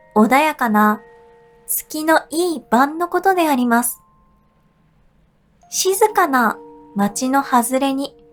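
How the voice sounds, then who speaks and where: At a very slow pace, a woman with a high pitch and gentle tone uses lively intonation and long, frequent pauses. Music plays in the background. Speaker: VTuber, singer and idol streamer. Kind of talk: sleep story, audiobook-style reading. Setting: studio, with music-box and wave-sound background. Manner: soft, gentle, calming.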